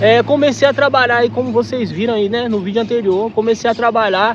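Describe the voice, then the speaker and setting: A man speaks at an extremely high pitch and a fairly quick pace. Noticeable background noise runs underneath. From Minas Gerais, Brazil. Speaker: travel vlogger. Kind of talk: casual chat.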